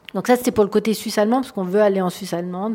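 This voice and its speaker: A woman's voice has a dark, mellow tone and fairly even intonation. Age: 40s. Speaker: entrepreneur. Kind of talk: interview. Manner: halting.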